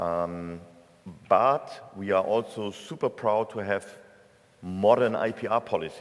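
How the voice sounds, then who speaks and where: A man with a German accent and a fairly low pitch, at a fairly slow pace with ordinary pitch variation and long, frequent pauses. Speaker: tech association executive, keynote speaker. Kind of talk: conference keynote. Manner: hesitant with fillers.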